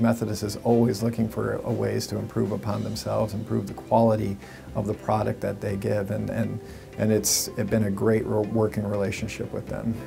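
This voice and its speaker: A man talks at a moderate pace while clear music sounds in the background. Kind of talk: interview answer. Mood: calm, earnest. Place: office.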